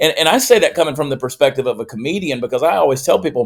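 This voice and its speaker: A man with a Southern US accent. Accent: Southern US (Georgia). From US South, Augusta, Georgia. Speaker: comedian and political commentator. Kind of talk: podcast interview.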